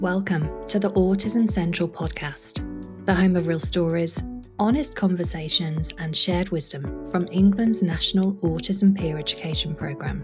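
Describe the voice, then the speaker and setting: Music plays in the background as a woman speaks with hardly any pauses. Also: moderate pace. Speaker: podcast host. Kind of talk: podcast intro read.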